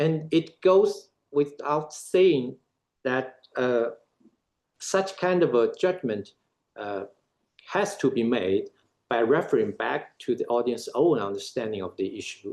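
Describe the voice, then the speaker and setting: The speaker has a non-native accent and a fairly slow pace with long, frequent pauses. Their pitch swings very widely. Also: man, fairly high pitch for a man. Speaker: academic speaker. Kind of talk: lecture. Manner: halting, many filler uhs.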